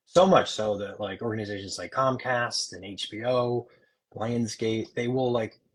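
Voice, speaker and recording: A man's somewhat breathy voice in an American accent, with ordinary pitch variation and big swings in loudness. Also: medium pitch for a man, moderate pace. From Upstate New York. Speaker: Air Force veteran and media executive. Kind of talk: interview. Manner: casual, filler-heavy.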